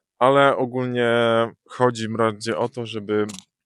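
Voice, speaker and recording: A man speaks in a monotone with flat intonation. The sound is dry and close, with no echo. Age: 20s. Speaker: YouTuber. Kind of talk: casual vlog monologue. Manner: halting, many filler sounds.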